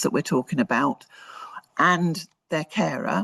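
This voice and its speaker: The speaker has a British accent. The background is quiet. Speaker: research presenter. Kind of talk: conference presentation. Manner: fast; hesitant, with fillers.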